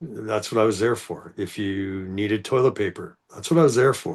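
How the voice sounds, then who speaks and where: A man with a Canadian accent has a plain, everyday voice, fairly low in pitch, at a moderate pace. His intonation is fairly even against a quiet background. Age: 60s. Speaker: former corrections worker. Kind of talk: casual chat.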